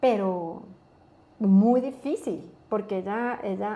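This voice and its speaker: A woman with an Ecuadorian accent, medium pitch, a dark, mellow tone and fairly even intonation. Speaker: pharmaceutical company country manager. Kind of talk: interview. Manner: halting.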